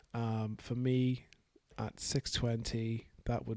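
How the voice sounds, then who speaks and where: Mumbling at a very slow pace, a man speaks in a medium pitch with a dark, mellow tone and monotone, flat intonation. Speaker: hobbyist software developer. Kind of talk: casual software dev vlog. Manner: mumbling, hesitant.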